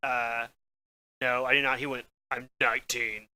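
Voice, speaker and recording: A man talks with a bright, sharp tone. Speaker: podcast co-host. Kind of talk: casual chat. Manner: animated.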